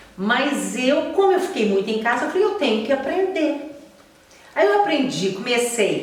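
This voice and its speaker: A woman in a Minas Gerais accent, with very wide pitch swings, amid noticeable background noise and audible room echo. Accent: mineiro Brazilian Portuguese. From Minas Gerais, Brazil. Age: 60s. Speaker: journalist and TV presenter. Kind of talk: podcast interview.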